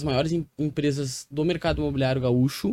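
This voice has a dark, mellow tone. It moves at a fairly quick pace with ordinary pitch variation. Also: man. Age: 30s. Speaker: real estate entrepreneur. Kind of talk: interview.

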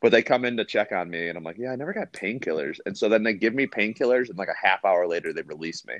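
The sound is dry and close with no echo as a man speaks very fast at a medium pitch, with hardly any pauses. His intonation is lively, and his loudness swings widely. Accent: American. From Rockford, Illinois, US Midwest. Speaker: guest. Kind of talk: casual chat.

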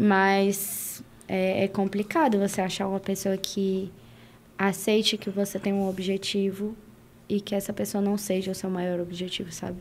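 Her intonation stays monotone and flat. The woman delivers her words at a fairly slow pace. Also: medium pitch for a woman. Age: young. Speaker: fashion influencer. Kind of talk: casual interview chat.

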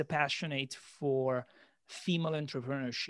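An Italian accent at a moderate pace, with ordinary pitch variation. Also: man. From Italy. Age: 30s. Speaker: podcast host and sales manager. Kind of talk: casual interview. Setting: remote call.

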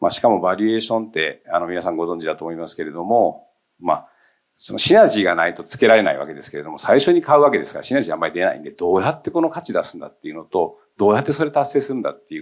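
Speaking very fast, a man makes big swings in loudness. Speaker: company CEO. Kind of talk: panel discussion.

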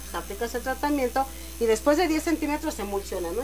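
There is noticeable background noise behind this woman as she talks. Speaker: hair stylist and massage therapist. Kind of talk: casual chat.

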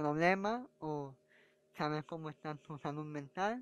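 A man speaks at a fairly slow pace with ordinary pitch variation, his voice dry and close with no echo against a quiet background. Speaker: comedian. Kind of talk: casual monologue.

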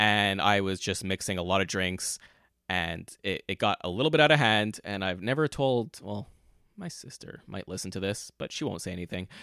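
A man with a Canadian accent talks at a moderate pace in a fairly low voice, bright and sharp, with lively intonation. The recording is very clean, with a silent background and a dry, close sound with no echo. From Montreal, Quebec. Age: 30s. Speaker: podcast host. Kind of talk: casual monologue. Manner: conversational.

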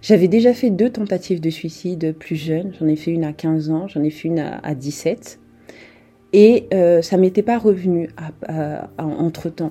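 A woman with a fairly low pitch and a dark, mellow tone speaks at a fairly slow pace, leaving long, frequent pauses, with ordinary pitch variation. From France. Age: young. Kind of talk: testimony. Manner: animated.

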